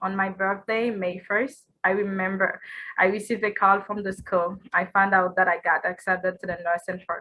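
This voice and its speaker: A woman with a non-native accent talks at a moderate pace and medium pitch, in a monotone, flat intonation. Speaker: nursing student, scholarship recipient. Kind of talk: award acceptance speech.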